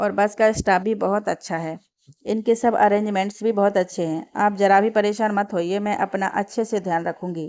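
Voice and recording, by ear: A quiet background, with ordinary pitch variation while reading aloud in a natural voice.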